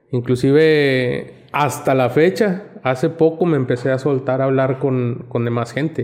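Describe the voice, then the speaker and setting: Over noticeable background noise, a man talks with fairly even intonation and hardly any pauses. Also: medium pitch for a man, fairly slow pace. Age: 50s. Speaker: paramedic. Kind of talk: casual chat.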